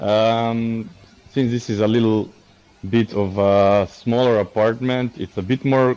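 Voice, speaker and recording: Here a man speaks at a fairly slow pace. His intonation stays fairly even. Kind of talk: property tour commentary. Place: home room. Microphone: video call.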